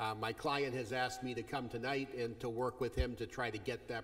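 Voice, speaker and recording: A man at a moderate pace with fairly even intonation against a quiet background. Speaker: attorney addressing board. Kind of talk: public comment address. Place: meeting room. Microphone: podium.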